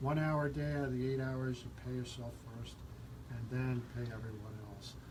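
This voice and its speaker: Noticeable background noise and audible room echo around a man at medium pitch, moderate pace and a monotone, flat intonation. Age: 60s. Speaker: radio host. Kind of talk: radio talk show interview.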